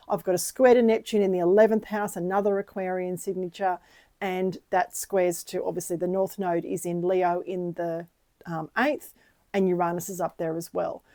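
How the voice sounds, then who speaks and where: A woman speaks at a medium pitch with fairly even intonation and a dark, mellow tone, at a moderate pace. The recording is very clean with a silent background. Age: 60s. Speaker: astrologer. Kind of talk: personal monologue to camera. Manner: conversational, with frequent fillers.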